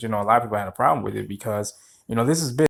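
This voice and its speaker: This man talks at a very fast pace in a medium pitch. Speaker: YouTube news commentator. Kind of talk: casual news commentary. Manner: slurred, sleepy; fast reading.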